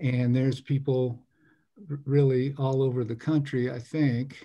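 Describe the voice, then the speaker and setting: Against a quiet background, a man with a dark, mellow tone speaks at a moderate pace in a monotone, flat intonation. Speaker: meeting host. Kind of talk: meeting introduction. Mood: friendly, welcoming. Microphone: video call.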